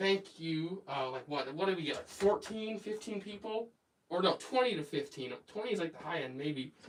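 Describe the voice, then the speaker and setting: With an American accent, a man speaks in a high pitch. His pace is moderate and his intonation lively. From United States. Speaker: craft livestreamer. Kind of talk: casual livestream chat and tutorial. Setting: home workshop livestream. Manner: casual, hesitant with fillers.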